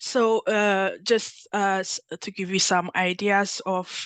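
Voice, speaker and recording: Very slowly and in a monotone, flat intonation, a woman speaks at a medium pitch, the sound dry and close with no echo. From Ethiopia. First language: Amharic. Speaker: workshop facilitator, PhD candidate. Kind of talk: workshop presentation. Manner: halting, many fillers and restarts.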